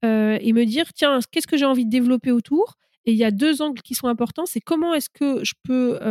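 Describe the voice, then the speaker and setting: A woman's high-pitched voice at a fairly quick pace, ordinary in pitch variation, with dry, close sound and no echo. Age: 30s. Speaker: startup coach, former venture capitalist. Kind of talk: interview.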